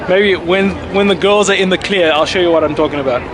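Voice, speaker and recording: A man speaks at a high pitch. Room echo is audible, and the background noise is noticeable. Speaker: travel vlogger. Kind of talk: casual vlog narration. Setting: outdoors. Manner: fast.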